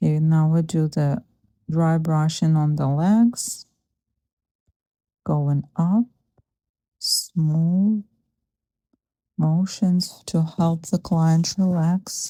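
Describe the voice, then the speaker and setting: A soft-spoken woman with a fairly low pitch and a dark, mellow, calm tone speaks at a very slow pace with long, frequent pauses, fairly even intonation and very even loudness. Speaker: massage therapist. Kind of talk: soft-spoken instructional narration. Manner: soft-spoken, calm.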